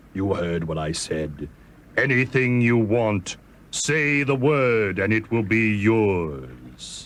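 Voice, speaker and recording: A man uses a put-on character voice at fairly low pitch. His tone is calm and his pace very slow. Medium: read story. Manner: calm, commanding.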